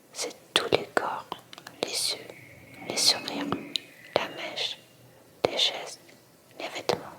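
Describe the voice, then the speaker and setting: A woman whispers at a very slow pace with long, frequent pauses and big swings in loudness over noticeable background noise. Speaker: ASMR reader. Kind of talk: reading aloud. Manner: soft-spoken.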